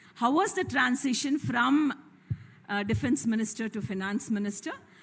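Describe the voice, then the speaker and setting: Noticeable background noise sits behind a woman speaking at a moderate pace. Her pitch is fairly high and swings very widely. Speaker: student moderator. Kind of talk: reading out questions. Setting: college hall with audience. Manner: formal.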